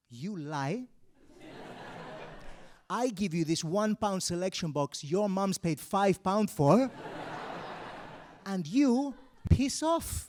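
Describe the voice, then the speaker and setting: Speaking at a very slow pace with long, frequent pauses, a man with a high pitch lets his voice swing very widely up and down. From Mallorca, Spain and Wales. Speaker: stand-up comedian. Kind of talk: live stand-up comedy. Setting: live theatre with audience.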